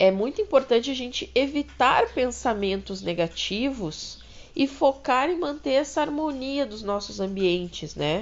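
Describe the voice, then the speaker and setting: This is a woman talking. Her pitch swings very widely. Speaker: podcast host. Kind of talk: casual monologue. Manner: slow.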